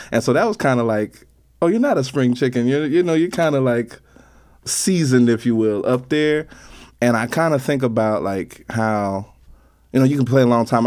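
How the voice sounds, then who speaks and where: On a very clean recording with a silent background, a man with an unremarkable speaking voice talks at a medium pitch and a fairly quick pace with ordinary pitch variation. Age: 30s. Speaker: bass player and band leader. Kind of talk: casual interview.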